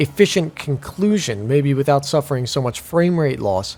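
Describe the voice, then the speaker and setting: At a moderate pace, a normal speaking voice comes through with lively intonation. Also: man. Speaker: gaming YouTuber. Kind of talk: video game commentary. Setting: at home PC with headphones on. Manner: casual, conversational.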